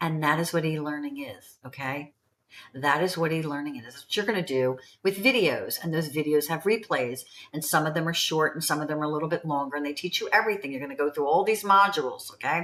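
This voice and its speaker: A woman talks at a very fast pace with a very deep, low pitch. Her loudness swings in big ways. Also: ordinary pitch variation. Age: 70s. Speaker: online business promoter. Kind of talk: sales pitch. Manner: casual, chatty.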